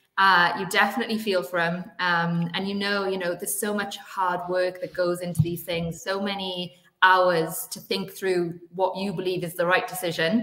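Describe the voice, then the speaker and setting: Monotone, flat intonation from a woman with a Welsh accent, at a moderate pace with hardly any pauses. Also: medium pitch for a woman. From Wales. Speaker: sports executive. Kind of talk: interview.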